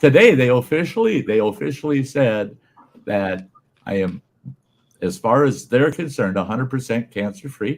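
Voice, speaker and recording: A man's medium-pitched voice with lively intonation at a moderate pace. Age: 60s. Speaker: regular viewer and stream guest, cancer survivor. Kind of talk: casual chat.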